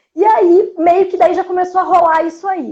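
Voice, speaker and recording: The speaker talks at a moderate pace with a strong Porto Alegre accent. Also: woman. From Brazil, Porto Alegre. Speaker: journalist and cultural producer. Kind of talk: interview. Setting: livestream.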